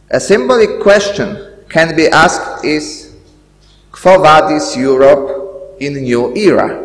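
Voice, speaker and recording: Very slowly and with lively intonation, a man speaks at a high pitch amid audible room echo. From Poland. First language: Polish. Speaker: school director; event host. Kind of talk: welcoming speech. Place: hall. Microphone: podium.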